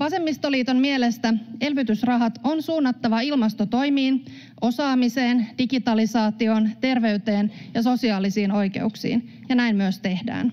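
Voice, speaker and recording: Ordinary pitch variation at a fairly slow pace, over a quiet background. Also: woman, fairly high pitch for a woman, very even loudness. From Finland. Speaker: member of parliament. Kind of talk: parliamentary speech. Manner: formal. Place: hall. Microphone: podium.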